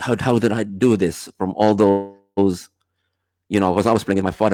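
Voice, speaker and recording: A man speaks fairly quickly with a slight British accent, his fairly low pitch following fairly even intonation. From Malta, early childhood in Cyprus. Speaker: DJ. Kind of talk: interview. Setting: live stream video call. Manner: halting, many fillers.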